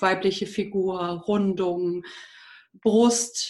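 Speaking at a very slow pace, a woman sounds somewhat breathy, with ordinary pitch variation. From Germany, Düsseldorf. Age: 30s. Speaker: wedding and funeral speaker. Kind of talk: casual interview.

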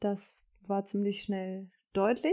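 Here is a woman with an unremarkable speaking voice, medium in pitch and fairly slow. The recording is very clean, with a silent background. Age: 30s. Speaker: mother sharing birth stories. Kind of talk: casual interview chat.

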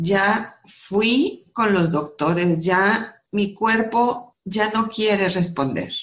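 In a room with audible echo, a woman speaks at a very slow pace with hardly any pauses, a medium pitch, ordinary pitch variation and very even loudness. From northern Mexico, Coahuila. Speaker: architect and author. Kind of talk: testimony.

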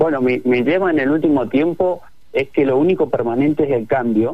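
A man speaks in a plain, everyday voice. His pitch is fairly high and his intonation lively. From Argentina, Neuquén. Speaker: digital product director. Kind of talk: radio interview.

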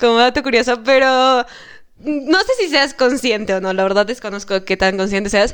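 The background is quiet. A woman with a high pitch talks at a moderate pace with ordinary pitch variation. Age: 20s. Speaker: psychology student. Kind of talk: casual chat.

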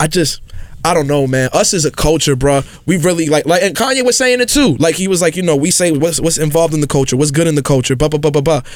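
A man with a New York accent, fairly high-pitched, at a very fast pace with very even loudness. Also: ordinary pitch variation. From New York City, South Bronx. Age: 20s. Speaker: podcast guest. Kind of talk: casual chat.

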